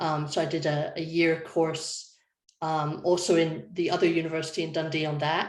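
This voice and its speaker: A woman with a Scottish accent and a fairly low pitch speaks at a moderate pace in a flat monotone, with audible room echo. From Scotland. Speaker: design lead. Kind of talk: panel presentation.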